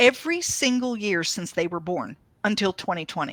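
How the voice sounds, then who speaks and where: A woman's bright, sharp tone moves through very wide pitch swings. She speaks at a fairly slow pace. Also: dry, close sound with no echo. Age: 60s. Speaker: author. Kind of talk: casual chat.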